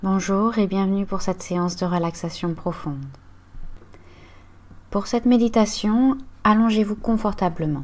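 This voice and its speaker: Speaking at a fairly slow pace with long, frequent pauses, a woman uses a calm, soothing tone, a medium pitch and ordinary pitch variation. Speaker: yoga and meditation guide. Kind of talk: guided relaxation / yoga nidra body scan. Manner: calm, slow, soothing.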